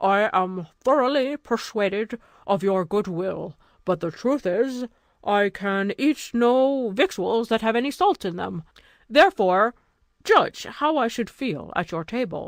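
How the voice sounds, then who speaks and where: A woman's put-on character voice, fairly high with lively intonation at a fairly slow pace, dry and close with no echo. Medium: read story. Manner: smooth, guarded.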